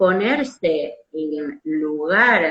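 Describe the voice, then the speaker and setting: A woman with a Rioplatense accent. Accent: Argentine Rioplatense Spanish. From Argentina. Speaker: psychoanalyst. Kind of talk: conversational lecture on psychoanalytic theory.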